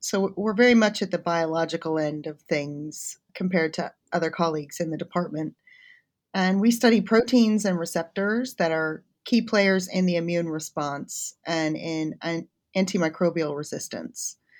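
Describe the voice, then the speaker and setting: An ordinary speaking voice in an American accent keeps a moderate pace and ordinary pitch variation. The background is silent and the recording very clean. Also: woman, fairly low pitch for a woman. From United States. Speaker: chemistry academic. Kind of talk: interview.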